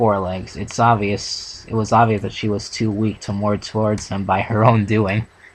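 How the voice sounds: Delivered in a natural reading voice.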